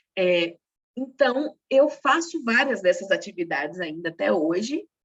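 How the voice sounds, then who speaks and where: A woman's pitch swings very widely as she talks fairly slowly. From Brazil, northeastern family. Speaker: secretarial workshop instructor and teacher. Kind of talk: workshop lecture.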